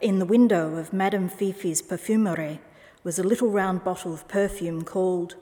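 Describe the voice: Reading aloud in a plain way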